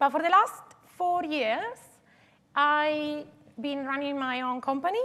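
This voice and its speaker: A woman's raised, projected voice in an Italian accent, high in pitch with ordinary pitch variation and long, frequent pauses. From Italy, Turin. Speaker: digital twin consultant. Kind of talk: conference talk. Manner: hesitant, many fillers.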